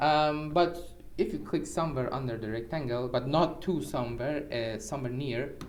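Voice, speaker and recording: With a Persian accent, a man speaks at a medium pitch and moderate pace with ordinary pitch variation, and room echo is audible. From Iran. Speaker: programmer. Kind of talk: tutorial. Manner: halting; casual.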